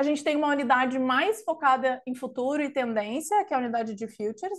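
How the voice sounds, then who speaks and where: Lively in intonation, a woman with a high pitch speaks at a fairly quick pace. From southern Brazil (Rio Grande do Sul). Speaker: consultancy knowledge lead, webinar presenter. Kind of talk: webinar presentation. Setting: live online webinar.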